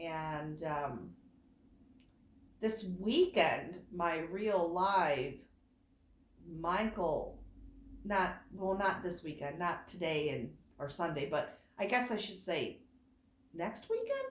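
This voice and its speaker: Here a woman speaks at a fairly low pitch with ordinary pitch variation, a very slow pace and long, frequent pauses. Room echo is audible. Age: 50s. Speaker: doll collector vlogger. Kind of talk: casual chat. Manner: rambling, unscripted.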